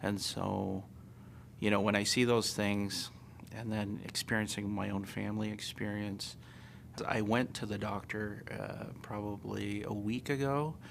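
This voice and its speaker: A man with an American accent speaks at a fairly slow pace and fairly low pitch, his intonation fairly even, in audible room echo. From United States. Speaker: interviewee. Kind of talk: interview testimony.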